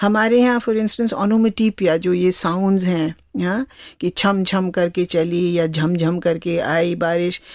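This woman speaks with a Kumaon accent at a medium pitch, with ordinary pitch variation and very even loudness. The sound is dry and close with no echo, in a very clean recording with a silent background. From Kumaon, Uttarakhand (Nainital). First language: Kumaoni (speaking Hindi). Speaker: translator and author. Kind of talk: interview conversation.

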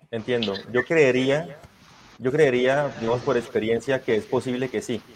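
Moderate pace, fairly even intonation and medium pitch from a man. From Colombia. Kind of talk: interview, historical storytelling. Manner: hesitant, many fillers.

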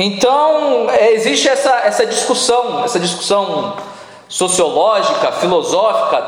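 A man speaks at a fairly slow pace. There is audible room echo along with noticeable background noise. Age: 30s. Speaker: pastor. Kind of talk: sermon.

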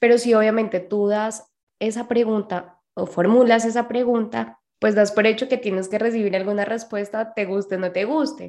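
In a Colombian accent, a woman with a fairly high pitch speaks at a moderate pace with fairly even intonation. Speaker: podcast co-host. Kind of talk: casual chat.

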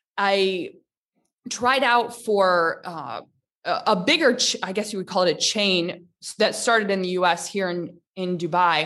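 This woman has an ordinary speaking voice with an American accent and a medium pitch. She talks at a moderate pace with lively intonation. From US Midwest, Michigan. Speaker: online fitness instructor. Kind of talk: interview.

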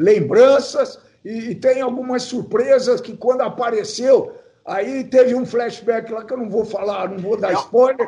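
A dark, mellow tone with ordinary pitch variation, big swings in loudness and a fairly slow pace. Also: man, extremely high pitch for a man. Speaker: podcast co-host. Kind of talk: casual chat.

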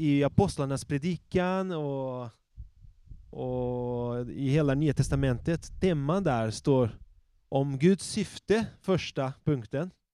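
Speaking at a very slow pace, a man has a fairly high pitch, ordinary pitch variation and a dark, mellow tone. The recording is very clean, with a silent background. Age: 30s. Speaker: pastor. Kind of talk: sermon; prayer.

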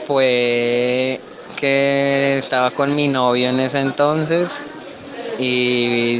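Noticeable background noise behind a man at medium pitch, his intonation fairly even. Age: 20s. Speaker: interviewee at a book fair. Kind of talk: vox pop testimony.

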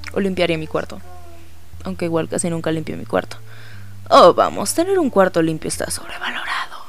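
A man talks at a fairly quick pace, broken by long, frequent pauses. Noticeable background noise is present. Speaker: podcaster. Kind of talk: casual monologue. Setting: home recording late at night. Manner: relaxed. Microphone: cheap microphone with pop filter.

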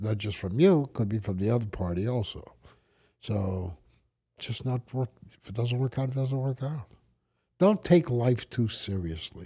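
With an American accent, a man talks at a moderate pace in a dark, mellow tone. His voice is somewhat breathy, with long, frequent pauses. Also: medium pitch for a man, very clean recording, silent background. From New York, the Bronx. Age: 70s. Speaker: podcast host, businessman. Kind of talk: casual chat. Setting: studio. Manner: halting.

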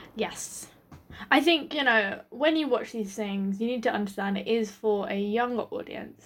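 A woman with an English accent speaks with a fairly high pitch and ordinary pitch variation. The recording is very clean, with a silent background. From Britain. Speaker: podcast co-host. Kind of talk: casual chat.

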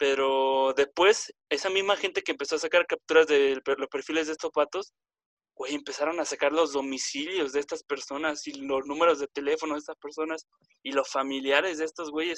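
This is a man with an ordinary speaking voice, fairly high in pitch and fairly even in intonation. He keeps a moderate pace, and the sound is dry and close with no echo. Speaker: podcast host. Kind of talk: casual debate chat. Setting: group call.

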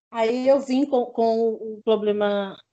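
At a very slow pace, a woman speaks with a high pitch, ordinary pitch variation and a dark, mellow tone. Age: 40s. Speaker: fibromyalgia patient. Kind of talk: testimony. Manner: halting.

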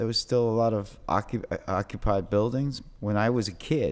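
A fairly low-pitched man with a New York accent at a fairly slow pace. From New York City, Lower East Side. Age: 50s. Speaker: graffiti artist. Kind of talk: casual interview chat. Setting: in person. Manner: halting, many repetitions.

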